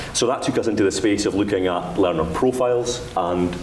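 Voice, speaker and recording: Against noticeable background noise and audible room echo, a man with a Dundee accent speaks at a fairly quick pace, his pitch fairly low with ordinary variation. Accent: Dundee Scottish. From Scotland, Dundee. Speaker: education official. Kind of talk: conference panel talk.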